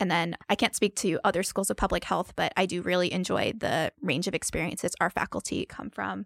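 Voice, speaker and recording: A woman speaks at a fairly quick pace with hardly any pauses, in a medium pitch with vocal fry and an American accent. The sound is dry and close, with no echo. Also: ordinary pitch variation, very clean recording, silent background. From New Jersey. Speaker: medical student. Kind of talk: interview.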